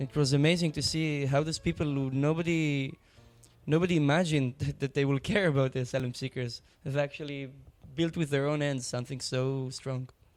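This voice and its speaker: Music plays in the background as a man talks. His pitch is fairly high, and his intonation is fairly even. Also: fairly quick pace. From Israel. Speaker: refugee aid worker. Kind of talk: interview.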